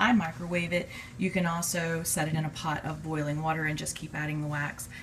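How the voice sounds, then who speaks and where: A woman's voice with ordinary pitch variation over loud background noise. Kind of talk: casual tutorial. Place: kitchen. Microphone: phone near.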